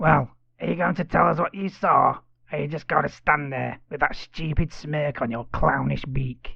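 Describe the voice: Doing a put-on character voice, a man speaks at a moderate pace and fairly high pitch with vocal fry, a slightly husky edge and fairly even intonation.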